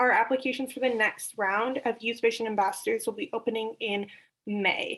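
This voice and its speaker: On a very clean recording with a silent background, a woman speaks in a high voice at a moderate pace with ordinary pitch variation. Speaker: regional representative for youth prevention nonprofit. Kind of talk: meeting report.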